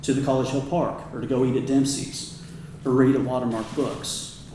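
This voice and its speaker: A man with an American accent speaks at a moderate pace and medium pitch, with audible room echo and noticeable background noise. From Kansas. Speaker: commercial real estate advisor. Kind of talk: public talk.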